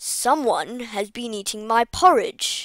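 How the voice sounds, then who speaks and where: Putting on a growling character voice, a woman speaks fairly slowly at a fairly high pitch. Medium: read story.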